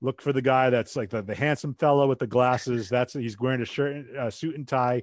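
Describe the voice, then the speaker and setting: An ordinary speaking voice, a man with a medium pitch and an American accent moves at a fairly quick pace with hardly any pauses and fairly even intonation. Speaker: podcast host. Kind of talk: casual chat.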